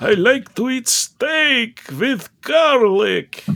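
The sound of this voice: The speaker uses a put-on character voice. Delivery is very slow. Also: man, extremely high pitch for a man.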